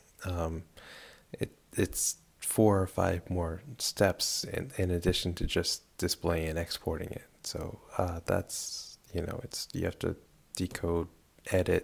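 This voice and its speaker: Very slow and somewhat breathy, the voice holds a fairly even intonation. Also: man, very deep, low pitch for a man. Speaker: hobbyist game modding programmer. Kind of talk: screen-recorded tutorial. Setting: at home late at night. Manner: hesitant with many fillers.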